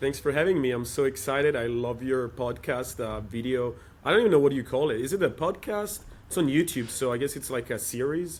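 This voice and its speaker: A man speaks with a European accent at a medium pitch. He shows ordinary pitch variation at a fairly quick pace. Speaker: startup operator in developer tooling. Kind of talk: interview.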